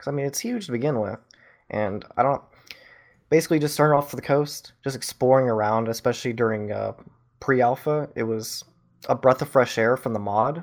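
A man's normal speaking voice at a medium pitch, fairly quick, with ordinary pitch variation, in a very clean recording with a silent background. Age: 18. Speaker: film student and gaming community moderator. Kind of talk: casual chat.

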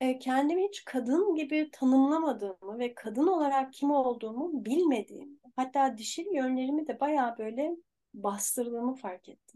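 A woman speaks with a dark, mellow tone and lively intonation. Her pace is fairly slow. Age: 50s. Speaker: life coach. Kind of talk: casual chat.

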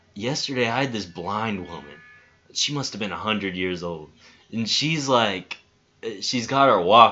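A man talks at a fairly slow pace, his pitch swinging very widely. Music plays behind him. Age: 20s. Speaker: podcast co-host. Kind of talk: casual chat.

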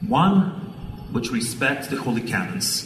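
A man's voice moves through very wide pitch swings. Background noise is noticeable, and room echo is audible. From Ukraine. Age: 50s. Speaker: Orthodox archbishop. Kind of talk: award acceptance speech.

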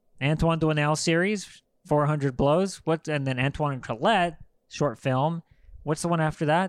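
In a very clean recording with a silent background, a man with a plain, everyday voice talks at a moderate pace in a fairly high pitch. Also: ordinary pitch variation. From Los Angeles, US. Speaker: film podcast co-host. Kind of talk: casual chat.

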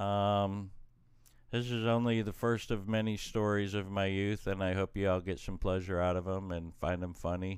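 This man talks at a moderate pace with a fairly low pitch and a monotone, flat intonation. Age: 50s. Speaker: podcast guest, host's father. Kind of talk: casual chat.

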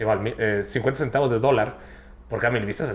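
A man with a fairly low pitch and vocal fry speaks at a very fast pace. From Mexico, Chiapas (Tuxtla Gutiérrez). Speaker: youtuber. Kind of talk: casual chat.

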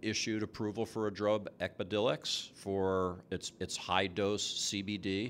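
A man's fairly low voice in an American accent, monotone with flat intonation, on a very clean recording with a silent background. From US East Coast, New Jersey. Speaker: chief science officer in cannabis food products. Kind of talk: casual interview before live audience. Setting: stage with audience.

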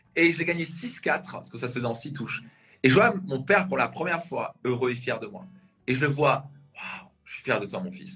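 A man speaks at a moderate pace with lively intonation and a fairly high pitch. Music plays in the background. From Alsace, near Strasbourg. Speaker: personal development coach. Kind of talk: interview. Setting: live video interview.

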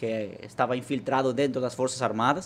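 With a Spanish accent, the speaker keeps a moderate pace and fairly even intonation. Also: man. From Venezuela. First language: Spanish (speaking Portuguese). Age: 30s. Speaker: political party leader. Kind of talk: interview. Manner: halting.

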